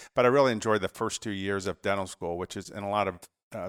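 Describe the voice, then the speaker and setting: Speaking very fast at a fairly low pitch, a man with an American accent is heard in a very clean recording with a silent background and a dry, close sound with no echo. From Georgia, US South. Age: 40s. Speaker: plastic surgeon and clinic owner. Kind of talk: casual interview.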